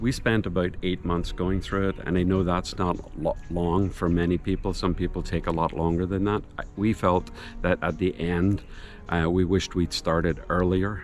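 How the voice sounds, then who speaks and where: Music plays in the background as the speaker goes at a moderate pace in a Northern Irish accent. The intonation is monotone and flat, and the loudness stays very even. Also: man, very deep, low pitch for a man. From Northern Ireland. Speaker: retiree moving abroad. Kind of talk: interview.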